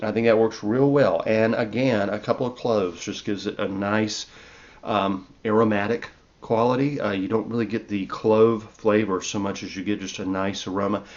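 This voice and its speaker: In a Southern US accent, a man speaks at a moderate pace with a relaxed tone, a fairly low pitch, and monotone, flat intonation. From US South. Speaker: herbalist and podcast host. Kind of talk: casual cooking talk. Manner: relaxed, conversational with fillers. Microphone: new microphone.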